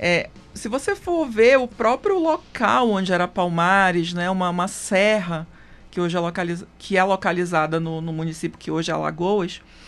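Ordinary pitch variation and a moderate pace in a woman's medium-pitched voice. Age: 30s. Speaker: lawyer on racial equality commission. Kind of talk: radio interview. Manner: halting, many fillers.

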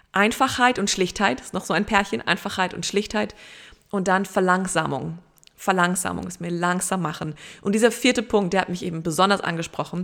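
Her loudness swinging widely, a woman with a plain, everyday voice talks at a fairly quick pace, her pitch medium and its variation ordinary. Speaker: podcast host. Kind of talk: inspirational solo podcast monologue.

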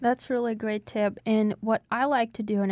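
A woman with a Russian accent speaks at a moderate pace and medium pitch. Her intonation is monotone and flat, and the recording is very clean with a silent background. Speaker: podcast host. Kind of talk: casual interview. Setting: studio.

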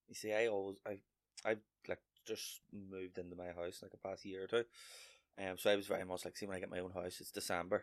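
With a Northern Irish accent, a man speaks very fast at a very deep, low pitch, monotone and flat, with big swings in loudness and long, frequent pauses. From Northern Ireland (Lurgan, County Armagh). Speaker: comedian. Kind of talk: casual chat.

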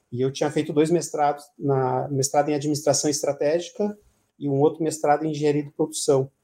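In a fairly high pitch, a man speaks at a fairly quick pace with a dark, mellow tone and monotone, flat intonation. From Paraná, Brazil (Curitiba area). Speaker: administrative director. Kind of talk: radio interview. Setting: radio studio. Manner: halting, many repetitions.

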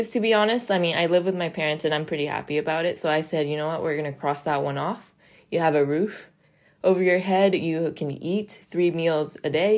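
A woman with an American accent, a very deep, low pitch and a fairly quick pace against a quiet background. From international upbringing (Dubai, Mexico, US). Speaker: professional golfer and podcast host. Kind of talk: solo podcast monologue. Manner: casual, hesitant with fillers.

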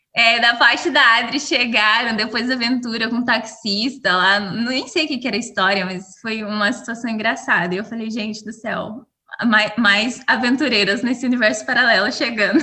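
Over noticeable background noise, a woman with a fairly high pitch speaks at a moderate pace with hardly any pauses and ordinary pitch variation. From Brazil. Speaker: podcast co-host. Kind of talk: casual chat.

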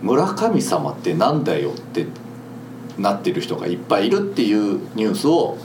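Speaking at a moderate pace amid noticeable background noise and audible room echo, a man with a medium-pitched voice swings his pitch very widely. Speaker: podcast host. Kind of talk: casual chat. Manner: animated.

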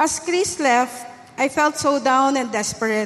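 Noticeable background noise sits behind a woman speaking at a high pitch with fairly even intonation. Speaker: church member. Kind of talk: testimony. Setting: church.

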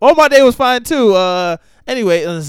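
Very wide pitch swings mark a man's speech on a very clean recording with a silent background. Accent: American. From Poconos, Pennsylvania. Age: 20s. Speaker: army engineer. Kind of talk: casual chat.

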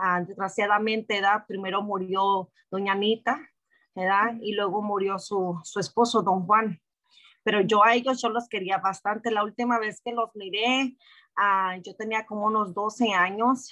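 A woman's bright, sharp tone at a medium pitch, with fairly even intonation and a fairly slow pace. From Mexico (Jalisco), raised in US from age 6. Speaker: church member. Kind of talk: testimony.

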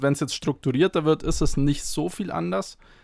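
Here is a man with an ordinary speaking voice and a fairly high pitch. His pitch variation is ordinary, and the recording is very clean with a silent background. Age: 20s. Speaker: athletic trainer. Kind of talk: podcast interview.

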